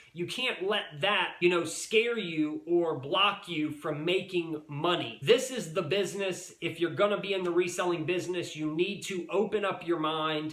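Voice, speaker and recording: Noticeable background noise sits behind a man with a high pitch. He speaks with hardly any pauses. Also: ordinary pitch variation, moderate pace. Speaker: reseller YouTuber. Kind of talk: casual vlog monologue. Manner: animated.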